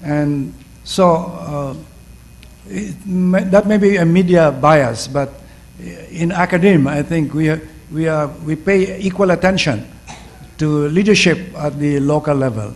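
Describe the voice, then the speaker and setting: Through noticeable background noise, the speaker goes at a fairly slow pace with long, frequent pauses and ordinary pitch variation. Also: man, fairly high pitch for a man. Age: 70s. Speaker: professor. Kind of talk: panel discussion answer. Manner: halting, many fillers.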